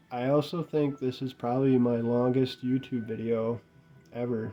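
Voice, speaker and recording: Over music in the background, a man speaks at a medium pitch and a fairly slow pace. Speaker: gaming youtuber. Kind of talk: casual video review monologue. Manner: monotone; casual, hesitant.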